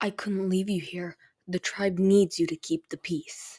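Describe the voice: A female-sounding voice performs a put-on character. The pitch sits in the middle. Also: moderate pace, very clean recording, silent background.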